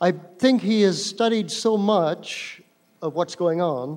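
A man talks at a very slow pace with a high pitch. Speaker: conference moderator. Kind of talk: panel question. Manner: halting.

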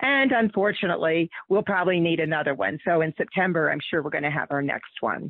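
Using a plain, everyday voice, a woman with an American accent talks at a fairly low pitch with lively intonation and hardly any pauses. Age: 60s. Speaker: activist organizer. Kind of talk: interview. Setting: phone or video call.

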